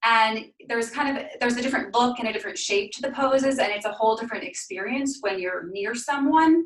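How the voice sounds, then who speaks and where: At a fairly quick pace, a woman speaks in a high pitch with ordinary pitch variation. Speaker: yoga instructor. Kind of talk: guided yoga class. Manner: soft-spoken.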